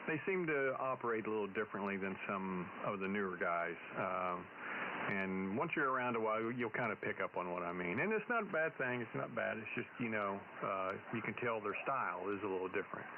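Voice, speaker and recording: A man with an American accent speaks at a fairly low pitch with ordinary pitch variation over noticeable background noise. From Texas. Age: old. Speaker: ham radio operator. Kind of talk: amateur radio contact. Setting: radio contact. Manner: hesitant, many fillers.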